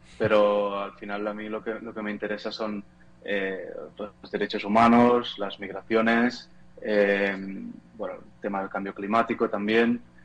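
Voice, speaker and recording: Noticeable background noise sits under a man's fairly low voice. He speaks at a fairly slow pace in a monotone, flat intonation with big swings in loudness. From Spain, near Barcelona (Catalonia). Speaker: photojournalist. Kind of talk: interview. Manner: halting, many repetitions.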